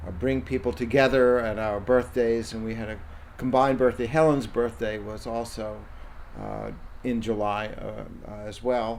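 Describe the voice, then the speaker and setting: A man speaks at a moderate pace with fairly even intonation. His loudness swings widely, and room echo is audible. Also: medium pitch for a man. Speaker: interviewee recalling summer community. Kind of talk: oral history interview. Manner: halting, many fillers.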